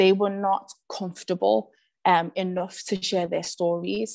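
Against a quiet background, a woman with a Liverpool accent speaks with fairly even intonation. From Liverpool area, born in Zimbabwe. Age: 20s. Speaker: artist and youth project producer. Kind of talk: presentation. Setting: video call. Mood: earnest, reflective. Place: home room. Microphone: video call.

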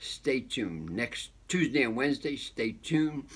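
A man with vocal fry and lively intonation, at a fairly slow pace. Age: 70s. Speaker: health and wellness channel host. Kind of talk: casual video update. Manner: excitable; halting. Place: home room. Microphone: phone near.

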